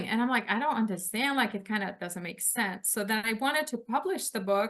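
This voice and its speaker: With a Lithuanian accent, a woman speaks at a moderate pace in a bright, sharp tone, her fairly high pitch showing ordinary variation. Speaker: author. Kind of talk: interview.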